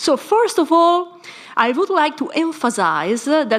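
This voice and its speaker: A woman's slow speech in an Italian accent, with very wide pitch swings and noticeable background noise. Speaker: philosophy scholar panelist. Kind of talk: conference talk. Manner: formal.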